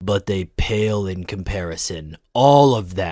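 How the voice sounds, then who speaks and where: On a very clean recording with a silent background, a man puts on a character voice that is very deep and low, delivered at a fairly slow pace. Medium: audio drama. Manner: clipped, cold.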